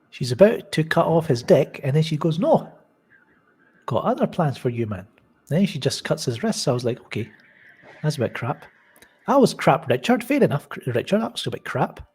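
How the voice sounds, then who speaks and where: With a Scottish accent, a man talks at a fairly quick pace in a fairly high voice, his pitch swinging very widely between long, frequent pauses. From Scotland. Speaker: live show host reading chat. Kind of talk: casual live stream chat. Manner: animated.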